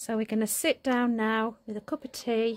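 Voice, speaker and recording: Her intonation fairly even, a woman speaks at a fairly high pitch. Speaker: vlogger. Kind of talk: casual vlog. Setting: at home. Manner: whispering.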